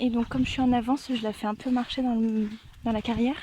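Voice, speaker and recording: There is noticeable background noise behind this woman. She talks at a moderate pace in a high pitch. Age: 20s. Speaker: veterinary assistant. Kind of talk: casual vlog talk to camera.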